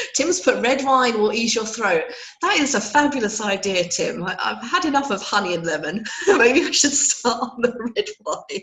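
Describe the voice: With audible room echo, a woman speaks at a moderate pace in a fairly high, croaky voice with a fairly bright tone and big pitch swings.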